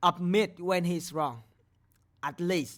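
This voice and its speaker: Speech unfolds very slowly. The audio is very clean, and the background is silent. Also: woman. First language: not English. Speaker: gaming commentator, drama reactor. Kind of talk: reaction commentary, ranting. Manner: heated, repetitive, stumbling.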